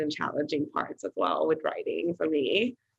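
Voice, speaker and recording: The pace is moderate. The speaker has a Thai accent. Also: woman. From Thailand and the UK. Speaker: artist and creative director. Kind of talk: casual interview. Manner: hesitant, many fillers.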